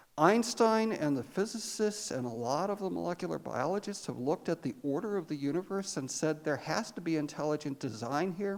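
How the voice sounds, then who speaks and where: A woman with an ordinary speaking voice, pitched fairly low. She talks at a fairly quick pace with hardly any pauses. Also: lively intonation. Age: 60s. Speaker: congregation member speaking from the floor. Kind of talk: audience comment in discussion. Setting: church forum room with audience.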